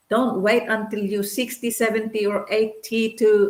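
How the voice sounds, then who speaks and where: An ordinary speaking voice from a woman, fairly high in pitch, at a fairly slow pace with fairly even intonation. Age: 60s. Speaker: digital business owner. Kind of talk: testimony.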